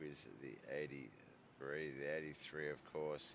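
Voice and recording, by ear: Little pitch movement at a fairly slow pace. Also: man, extremely low pitch for a man.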